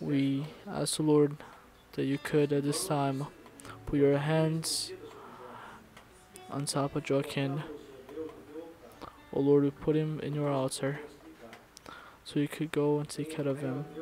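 With clear music in the background, a man speaks fairly slowly in a flat monotone, with long, frequent pauses. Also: dry sound with no echo. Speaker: pastor. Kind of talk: prayer. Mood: solemn, reverent. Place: church. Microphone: lapel.

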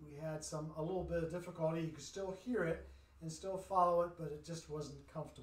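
A man speaks at a moderate pace with fairly even intonation, and the room echo is audible. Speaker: pastor leading bible study. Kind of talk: bible study introduction. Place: church. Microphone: camera far.

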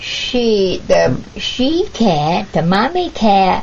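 A woman's medium-pitched voice, slightly mellow in tone, with vocal fry, big pitch swings, a very slow pace and audible room echo.

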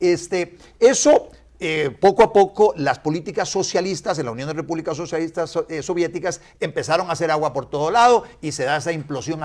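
Fairly quick speech with lively intonation against a quiet background. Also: man. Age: 60s. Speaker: politician. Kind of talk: casual chat; interview answer. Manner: halting. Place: studio. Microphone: lapel.

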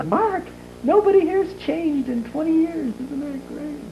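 A female-sounding put-on character voice, high-pitched, at a moderate pace, with clear background noise. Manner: cheerful, enthusiastic.

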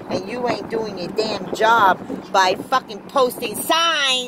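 A woman speaks at a fairly slow pace with an American accent. Noticeable background noise sits behind her. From US South. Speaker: vlogger. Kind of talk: casual vlog rant. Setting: in a car. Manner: animated. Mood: irritated ranting at road crew. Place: car. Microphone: phone near.

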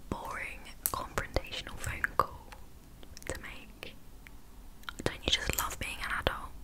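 A woman whispers at a fairly slow pace. She is soft-spoken. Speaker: ASMR-style vlogger. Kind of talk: casual vlog chat. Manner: soft close-mic ASMR whisper. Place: home room. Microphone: studio mic.

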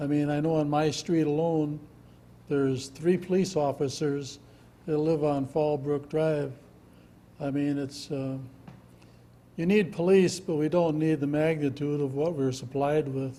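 At a fairly slow pace with long, frequent pauses, a man in an Upper Midwest accent speaks with a fairly high pitch, a dark, mellow tone and fairly even intonation. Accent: Upper Midwest (Minnesota). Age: 70s. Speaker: resident giving public comment. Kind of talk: public hearing testimony.

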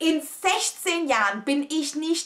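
Against a quiet background, a woman projects a raised voice with an animated, dramatic, bright, sharp tone. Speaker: vlogger. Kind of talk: storytelling, casual vlog chat to camera. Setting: home video. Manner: animated, chatty, exclamatory, mixes in English phrases; excitable, dramatic, confiding. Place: home room.

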